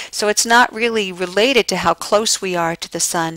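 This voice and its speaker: A woman's voice with a dry, close sound and no echo. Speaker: geography instructor. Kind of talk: recorded lecture. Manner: hesitant, many fillers.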